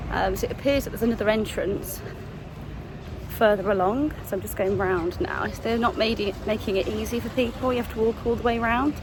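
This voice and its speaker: A woman with an English accent, fairly high pitch, ordinary pitch variation and a fairly quick pace amid noticeable background noise. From England. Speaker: travel vlogger. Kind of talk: casual vlog talk to camera.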